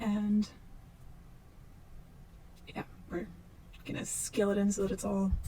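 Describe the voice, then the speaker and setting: With a medium pitch and flat, monotone intonation, a woman speaks at a fairly slow pace, leaving long, frequent pauses over noticeable background noise. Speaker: 3D modeling tutor. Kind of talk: unscripted software tutorial narration. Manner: slow, casual.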